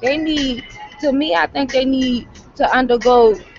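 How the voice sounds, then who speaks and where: Music plays in the background as a woman speaks in a high pitch. Her pitch varies in an ordinary way. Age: 20s. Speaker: vlogger. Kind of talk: casual chat. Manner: animated.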